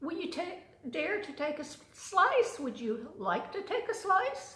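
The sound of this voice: A woman uses a put-on character voice, extremely high-pitched and fairly bright, with big pitch swings. She speaks at a fairly slow pace amid strong room echo.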